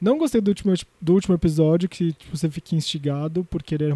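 A man's dark, mellow, somewhat breathy voice, fairly quick and fairly even in intonation, against a quiet background. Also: dry, close sound with no echo. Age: 30s. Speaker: culture editor and journalist. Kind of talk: casual chat.

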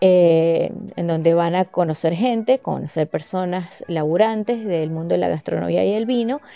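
A woman's fairly low voice at a fairly slow pace. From Venezuela, Mérida (Andes). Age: 40s. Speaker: podcast host, sommelier. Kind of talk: solo podcast monologue.

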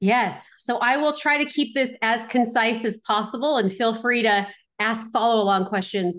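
A woman with an unremarkable speaking voice talks at a moderate pace, her pitch fairly high. Her loudness stays very even against a quiet background. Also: ordinary pitch variation. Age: 40s. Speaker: real estate investor. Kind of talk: interview.

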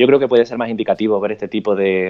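At a moderate pace, a man speaks with fairly low pitch and fairly even intonation, the sound dry and close with no echo. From Spain. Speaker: interviewee on quarantine life. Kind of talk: interview over live video.

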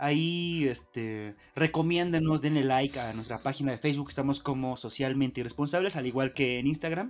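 A man's fairly high voice at a moderate pace with hardly any pauses. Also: ordinary pitch variation, very clean recording, silent background. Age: 30s. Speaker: podcast co-host. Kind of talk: casual chat. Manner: animated.

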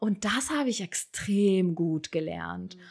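The recording is very clean, and its background is silent. A woman talks with very wide swings in pitch. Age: 30s. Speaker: podcast guest, single mother. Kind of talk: casual chat.

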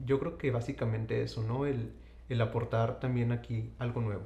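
Somewhat breathy man at medium pitch, with a dark, mellow tone, a moderate pace and audible room echo. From Saltillo, Coahuila, Mexico. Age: young. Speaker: endocrinologist. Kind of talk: interview.

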